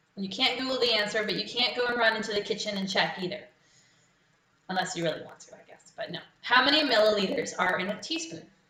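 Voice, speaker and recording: A woman's fairly high, lively voice at a very fast pace, with big swings in loudness and audible room echo. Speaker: quiz host. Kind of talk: live quiz hosting. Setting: live stream from home.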